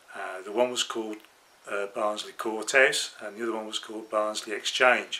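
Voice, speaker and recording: With a Birmingham accent, a man speaks in a fairly low pitch with monotone, flat intonation. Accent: Brummie. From Birmingham, England. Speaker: model railway hobbyist. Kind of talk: casual vlog monologue. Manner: hesitant, with fillers.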